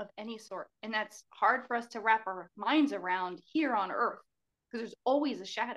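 At a moderate pace, a woman with a fairly high pitch and ordinary pitch variation speaks with big swings in loudness. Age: 40s. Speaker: speech therapist and author. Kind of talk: casual interview.

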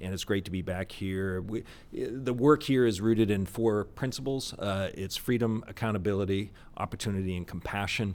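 On a very clean recording with a silent background, a man with an American accent and a normal speaking voice speaks at a moderate pace, his fairly low pitch showing ordinary pitch variation. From US Northeast (Boston area). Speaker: think tank executive director. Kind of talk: interview conversation. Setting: on location at presidential center.

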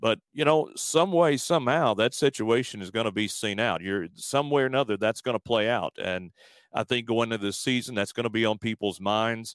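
On a very clean recording with a silent background and a dry, close sound with no echo, a man has an ordinary speaking voice at medium pitch, with ordinary pitch variation and a fairly quick pace. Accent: American. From Alabama, US South. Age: 40s. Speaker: sports arena announcer. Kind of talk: interview.

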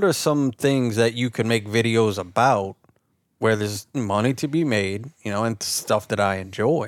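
A man with a South Louisiana accent speaks at a fairly slow pace in a medium pitch with ordinary pitch variation. The recording is very clean with a silent background, dry and close with no echo. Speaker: YouTube outdoor content creator. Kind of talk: casual chat.

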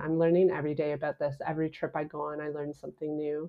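A woman with an unremarkable speaking voice and a Canadian accent talks at a fairly quick pace, her pitch fairly low. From Canada (Ontario). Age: 30s. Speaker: travel writer and podcaster. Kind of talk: casual interview.

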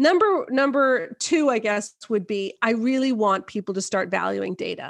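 A woman with a Canadian accent talks at a moderate pace, her fairly high pitch carrying lively intonation. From Canada. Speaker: author and marriage blogger. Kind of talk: interview. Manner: direct and blunt.

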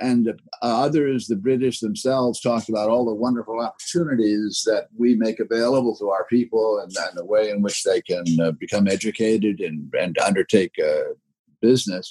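Fairly quick speech from a man at a medium pitch, his tone dark and mellow. His pitch varies in an ordinary way. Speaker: history professor. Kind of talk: interview. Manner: halting.

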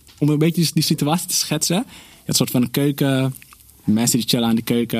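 A plain, everyday voice talks at a fairly quick pace with ordinary pitch variation. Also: man. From Netherlands, North Holland (village near Alkmaar). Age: 30s. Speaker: podcast guest. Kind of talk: casual chat.

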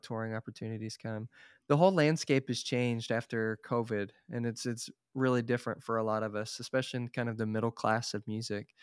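A man with an ordinary speaking voice and an American accent, medium in pitch, at a fairly quick pace with fairly even intonation, in a dry, close sound with no echo and a very clean recording over a silent background. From Oklahoma, Tulsa. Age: 30s. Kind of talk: casual interview.

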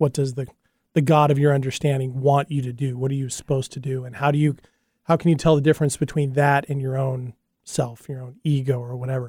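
Fairly high in pitch, this man talks at a fairly quick pace in a dark, mellow tone. His delivery is monotone and flat, and somewhat breathy. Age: 40s. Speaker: podcast and radio co-host. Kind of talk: casual chat. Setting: studio.

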